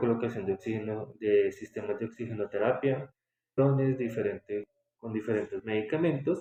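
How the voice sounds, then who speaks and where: Ordinary pitch variation runs through the man's dark, mellow tone. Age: 30s. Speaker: respiratory therapist. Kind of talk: interview.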